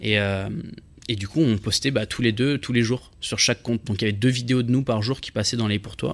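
A man talks at a medium pitch in an unremarkable speaking voice. His intonation stays fairly even and his pace is fairly quick. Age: 20s. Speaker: content creator. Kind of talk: casual interview.

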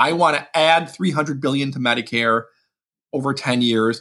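With vocal fry and a bright, sharp tone, a man talks at a fairly quick pace in a fairly high pitch with lively intonation. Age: 40s. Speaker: budget policy expert. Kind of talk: interview. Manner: halting, frequent repetitions.

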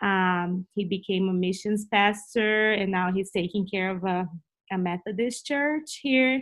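This woman speaks in a Brazilian accent at a medium pitch. She goes at a fairly slow pace with ordinary pitch variation. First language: Portuguese. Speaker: Bible teacher. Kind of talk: interview.

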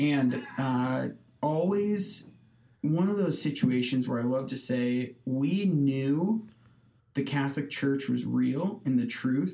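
In a Midwestern US accent, a man speaks very slowly with a dark, mellow tone. His pitch is fairly high and his intonation lively. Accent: US Midwest. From Nebraska (Hastings). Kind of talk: casual interview.

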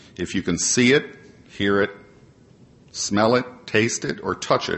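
A man with an American accent. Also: long, frequent pauses. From Ohio, Cleveland Heights. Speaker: AA convention speaker. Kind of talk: prepared talk to audience. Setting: stage with audience.

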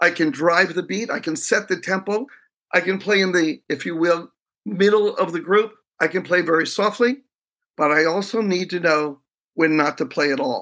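Against a quiet background, a man with a high, bright, sharp voice speaks with long, frequent pauses. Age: 60s. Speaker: professor and leadership researcher. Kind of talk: interview conversation.

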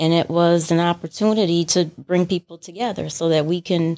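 On a very clean recording with a silent background, a woman with an unremarkable speaking voice talks in a fairly low pitch with fairly even intonation. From Detroit. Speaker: coffee shop owner. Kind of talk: interview.

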